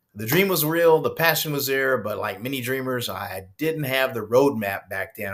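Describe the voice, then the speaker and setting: In an unremarkable speaking voice, a man talks at a moderate pace and medium pitch with ordinary pitch variation and hardly any pauses. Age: 60s. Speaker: retired rock musician turned online entrepreneur. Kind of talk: screen-share walkthrough vlog. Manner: casual, with many fillers.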